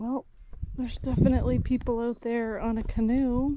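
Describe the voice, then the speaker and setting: A woman's fairly high, excited voice at a fairly slow pace, over noticeable background noise. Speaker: van-life vlogger. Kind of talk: casual vlog narration; live fishing commentary.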